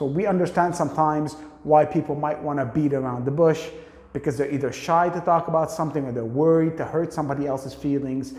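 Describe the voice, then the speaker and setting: Over noticeable background noise, a man speaks at a fairly quick pace with a fairly high pitch. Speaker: English teacher. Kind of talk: tutorial. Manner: fast; animated.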